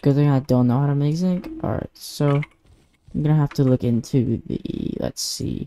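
With music playing behind it, the voice moves at a moderate speed. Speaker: gaming YouTuber. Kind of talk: casual gameplay commentary. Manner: halting.

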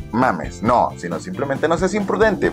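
A man speaks at a fairly slow pace in an upbeat tone, with a Mexican accent. Clear music plays in the background. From Mexico. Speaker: vlogger. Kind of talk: casual talk to camera. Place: home room. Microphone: phone near.

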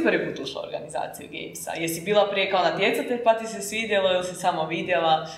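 A woman talks at a very fast pace with hardly any pauses, at medium pitch and with lively intonation. Her loudness swings widely, and room echo is audible. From Croatia. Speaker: podcast host. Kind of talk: casual chat. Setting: studio. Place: classroom.

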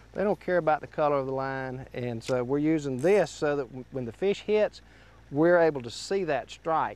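A man at a moderate pace, his sound dry with no echo. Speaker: fishing show host. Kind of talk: tutorial. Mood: cheerful, relaxed. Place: boat. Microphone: lapel.

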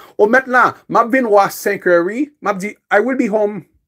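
A man speaks at a fairly slow pace in a high pitch, with a quiet background behind him. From Haiti. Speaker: English teacher. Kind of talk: lecture. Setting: YouTube livestream. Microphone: phone near.

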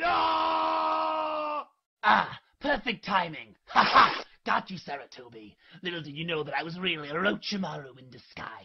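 A raspy, put-on character voice moves at a moderate pace. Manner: comic overacting, whiny, excitable.

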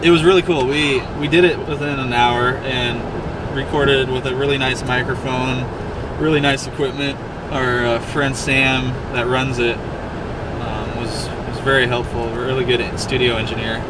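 The speech moves at a moderate pace. Loud background noise sits under a dry sound with no echo. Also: man. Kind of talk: casual vlog chat. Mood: relaxed storytelling. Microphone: camera far.

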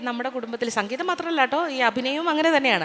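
Over noticeable background noise, a woman speaks in a raised, projected voice. Her high-pitched delivery has lively intonation. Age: 50s. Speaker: singer and actress, former radio jockey. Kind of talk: interview on stage. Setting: stage with audience.

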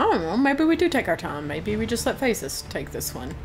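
Noticeable background noise behind a woman at a moderate speed, with an American accent. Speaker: gaming youtuber. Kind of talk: gameplay commentary. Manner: animated.

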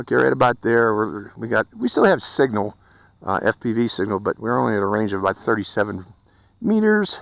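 In a dry sound with no echo, a man with an ordinary speaking voice talks at a moderate pace and fairly low pitch, with ordinary pitch variation. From Pittsburgh, US. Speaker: drone reviewer YouTuber; drone reviewer. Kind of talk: product review and flight test narration. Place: open country. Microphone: phone near.

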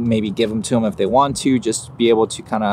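The man speaks very fast. Light background noise sits under a dry sound with no echo. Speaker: photographer vlogger. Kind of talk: casual vlog chat. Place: garden. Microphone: phone near.

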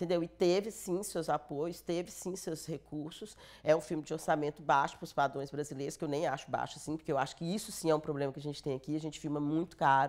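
The speech runs at a very fast pace with hardly any pauses and fairly even intonation. The background is quiet. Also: woman, very deep, low pitch for a woman. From Brazil, northern Minas Gerais (Montes Claros); Minas Gerais, Brazil. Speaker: film producer; interviewee. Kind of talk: interview. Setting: studio. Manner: halting. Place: studio. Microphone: lapel.

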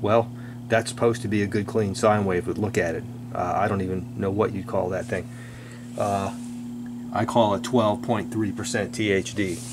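With long, frequent pauses, a man speaks in a monotone, flat intonation against noticeable background noise. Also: moderate pace. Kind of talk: casual technical commentary. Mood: amused disapproval. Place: workshop.

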